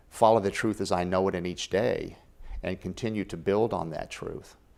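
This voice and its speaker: A man with a normal speaking voice talks at a moderate pace in a fairly low pitch. His intonation is fairly even, and the recording is very clean with a silent background. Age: 60s. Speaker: author and spiritual life coach. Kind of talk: interview.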